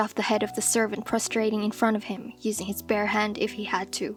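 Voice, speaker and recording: Music plays behind a woman with a fairly high pitch. She talks at a moderate pace. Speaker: storyteller. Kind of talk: fantasy novel narration.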